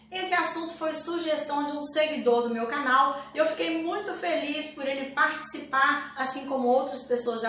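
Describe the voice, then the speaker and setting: A woman speaks in a raised, projected voice at a high pitch and moderate pace, with ordinary pitch variation and hardly any pauses. Noticeable background noise and audible room echo fill the recording. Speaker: health and nutrition youtuber. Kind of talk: educational talk to camera.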